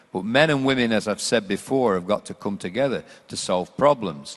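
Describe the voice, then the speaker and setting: A man with an unremarkable speaking voice talks at a fairly quick pace. His intonation is lively. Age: 60s. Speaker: panelist on sport and education. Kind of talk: panel discussion.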